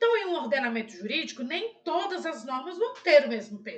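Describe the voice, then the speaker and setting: In a raised, projected voice with a bright, sharp tone, a woman speaks at an extremely high pitch with very wide pitch swings. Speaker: law professor. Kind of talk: educational lecture on constitutional law. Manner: clear, friendly, didactic.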